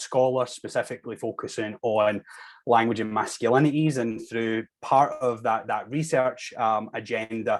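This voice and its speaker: A man with a Scottish accent, medium-pitched, on a very clean recording with a silent background. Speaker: linguistics researcher. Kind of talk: academic presentation.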